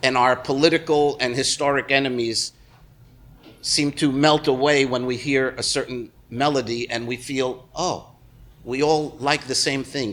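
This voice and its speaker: Speaking at a fairly slow pace, a man keeps a medium pitch in a monotone, flat intonation. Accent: New York. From New Jersey, US. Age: 60s. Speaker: musician. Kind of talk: interview. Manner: halting, many fillers.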